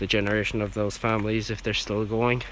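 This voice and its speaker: A quiet man's fairly low voice in a monotone, flat intonation over noticeable background noise. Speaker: urban explorer video host. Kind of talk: vlog narration on location. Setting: outdoors at graveyard. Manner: quiet, keeping voice down.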